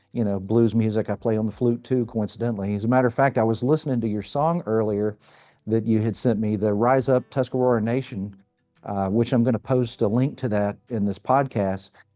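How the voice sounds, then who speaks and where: A man speaks at a fairly quick pace with a medium pitch. His intonation is fairly even, with music in the background. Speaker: podcast host and flute maker. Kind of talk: interview conversation. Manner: halting, many fillers.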